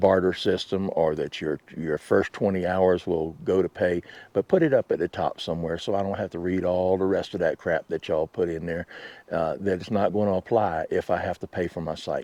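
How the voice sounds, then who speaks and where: A man with a Southern US accent and a very deep, low pitch, dark, mellow tone, fairly even intonation and a fairly quick pace, in a dry, close sound with no echo and a quiet background. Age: 60s. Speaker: RV vlogger and work camper. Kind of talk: casual vlog monologue. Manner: halting, many fillers.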